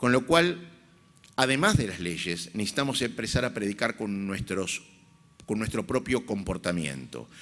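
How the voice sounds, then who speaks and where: Recorded very cleanly against a silent background, a man speaks at a moderate pace with vocal fry and very wide pitch swings. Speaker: rabbi. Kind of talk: conference speech. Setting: stage with audience. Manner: formal.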